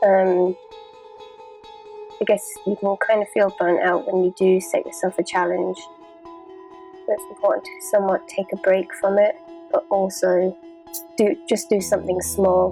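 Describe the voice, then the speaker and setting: A woman at a fairly slow pace, with long, frequent pauses and music in the background. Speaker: artist. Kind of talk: casual talk to camera.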